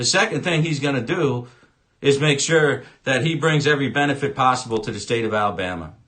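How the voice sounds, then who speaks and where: A loud man with a fairly high pitch speaks in a bright, sharp tone. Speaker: political commentator. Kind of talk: political rant. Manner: animated.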